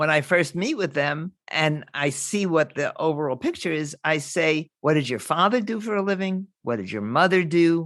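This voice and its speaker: A woman talks at a moderate pace with hardly any pauses. Her pitch is very deep and low, and her intonation lively. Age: 80s+. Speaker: money coach. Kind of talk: interview.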